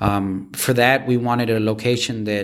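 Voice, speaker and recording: An unremarkable speaking voice, with an American accent. The man speaks fairly slowly at a fairly low pitch. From Washington, D.C. area. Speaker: restaurant founder. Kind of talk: interview.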